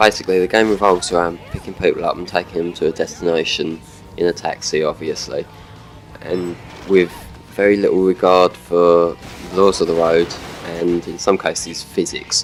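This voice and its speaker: Music plays in the background as a man speaks in a very deep, low voice with monotone, flat intonation. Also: moderate pace. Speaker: gaming video commentator. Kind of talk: gameplay commentary. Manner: casual, hesitant.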